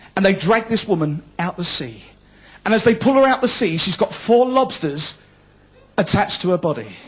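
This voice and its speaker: Here a man talks with a high pitch in a Cockney accent. His tone is animated. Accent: London Cockney. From London, East End. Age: 40s. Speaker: comedian. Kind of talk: stand-up. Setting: stage with audience.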